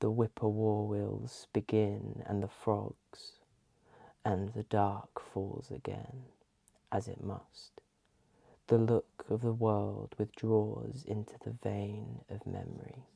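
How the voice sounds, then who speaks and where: Soft-spoken, a man talks. His pace is very slow. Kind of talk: ASMR poetry reading. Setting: close-mic binaural recording. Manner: soft-spoken, calming.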